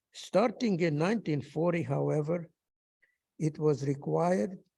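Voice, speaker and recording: This man has a Hungarian accent and a fairly high pitch. His dark, mellow tone moves at a fairly slow pace. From Hungary. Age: 90s. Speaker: Holocaust survivor. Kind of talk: testimony. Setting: synagogue ceremony.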